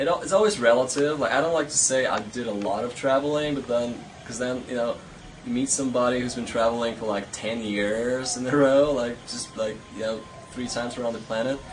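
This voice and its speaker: A man speaks at a fairly quick pace in a medium-pitched voice with ordinary pitch variation. Audible room echo and noticeable background noise surround him. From Poland (north, near Gdańsk). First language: Polish. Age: 20s. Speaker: traveler. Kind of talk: interview. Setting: outdoors. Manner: halting.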